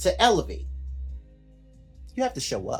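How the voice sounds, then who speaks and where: There is music in the background. A man does the talking. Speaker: life coach. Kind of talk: faith-based motivational talk on a group call. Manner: emphatic, repeats key points.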